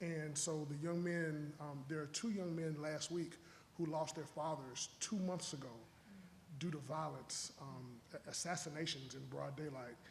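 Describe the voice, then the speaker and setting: Room echo is audible as a man talks at a moderate pace, his fairly high voice holding fairly even intonation. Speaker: panel moderator. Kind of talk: panel discussion. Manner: halting, repeats words.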